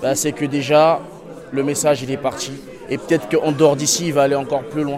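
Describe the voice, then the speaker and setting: Over crowd noise in the background, a man talks at a fairly high pitch. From Congo and Senegal. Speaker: prison inmate. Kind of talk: interview.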